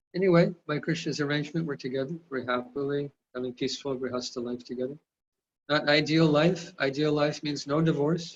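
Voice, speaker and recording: This is a normal speaking voice with an American accent. The pace is fairly quick. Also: man, fairly high pitch for a man. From California, US. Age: 60s. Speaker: spiritual teacher. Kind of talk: lecture; personal testimony.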